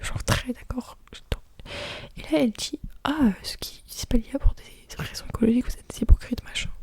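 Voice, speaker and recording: Whispering at a moderate pace, relaxed in tone, with big swings in loudness and long, frequent pauses. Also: woman. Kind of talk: ASMR soft spoken chatting. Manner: soft-spoken, relaxed, casual.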